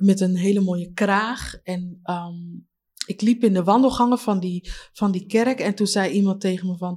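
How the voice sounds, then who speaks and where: A woman's somewhat breathy, medium-pitched voice, dark and mellow in tone, at a very slow pace with fairly even intonation, on a very clean recording with a silent background. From Leiden, Netherlands. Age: 30s. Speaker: community member, former care worker. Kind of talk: interview testimony.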